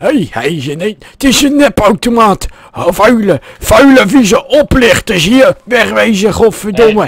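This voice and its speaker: A man's put-on character voice, hoarse and high-pitched, with lively intonation and hardly any pauses. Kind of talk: comic overacting. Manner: cranky, cursing, mocking.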